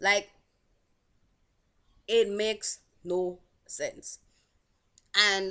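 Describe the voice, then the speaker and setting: With a bright, sharp tone and fairly high pitch, a woman speaks with long, frequent pauses. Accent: Saint Lucian. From Saint Lucia. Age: 20s. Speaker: vlogger. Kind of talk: casual vlog commentary.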